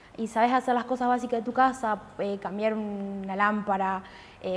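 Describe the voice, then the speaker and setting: A woman's voice with fairly even intonation. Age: 20s. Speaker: student in an electrician course. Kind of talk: interview testimony. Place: workshop.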